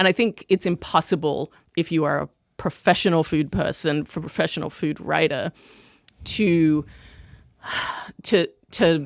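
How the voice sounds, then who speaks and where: An American accent marks this woman's fairly slow speech, with long, frequent pauses, vocal fry, a fairly low pitch with ordinary variation, and a dry, close sound with no echo. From Australia (Melbourne). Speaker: food critic and author. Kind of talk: podcast interview.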